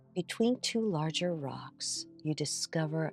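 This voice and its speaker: Music plays behind a woman whose very deep, low voice moves very slowly, the sound dry and close with no echo. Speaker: meditation guide. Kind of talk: guided meditation. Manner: soft-spoken.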